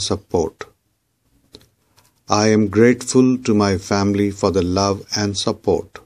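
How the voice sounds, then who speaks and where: This is an ordinary speaking voice from a man with a fairly low pitch. He talks at a fairly slow pace with ordinary pitch variation. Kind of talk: spoken affirmations, repeat-after-me guided meditation.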